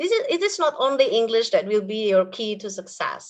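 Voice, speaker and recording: The speaker has an Indonesian accent. The intonation is lively. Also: woman. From Indonesia, Purwokerto area (Banyumas). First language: Indonesian (Banyumas ngapak dialect). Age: 40s. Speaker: English teacher. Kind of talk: webinar talk.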